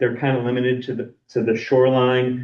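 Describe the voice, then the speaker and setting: This man has a slight Boston accent. He speaks at a moderate pace. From Boston area, US. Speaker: lake scientist presenter. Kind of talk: lecture. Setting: seminar room, also streamed online. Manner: halting, many fillers and repeats.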